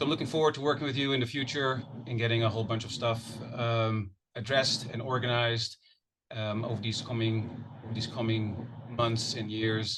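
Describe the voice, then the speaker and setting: A man with a Dutch accent talks at a fairly quick pace, his medium-pitched voice monotone and flat. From Netherlands. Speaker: wildlife agency manager. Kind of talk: self-introduction at public meeting. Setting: hybrid public meeting.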